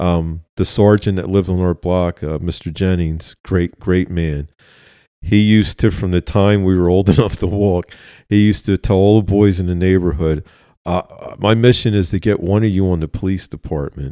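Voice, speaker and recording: A man with a Philadelphia accent speaks at a moderate pace in a very deep, low voice with a dark, mellow tone and fairly even intonation. The recording is very clean and dry, close with no echo, over a silent background. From West Philadelphia. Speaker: retired police officer. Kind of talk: interview conversation, storytelling.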